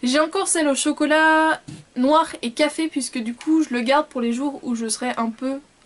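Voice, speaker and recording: This woman's voice sits high in pitch. Her pitch varies an ordinary amount. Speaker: beauty vlogger. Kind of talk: casual product review vlog. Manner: fast.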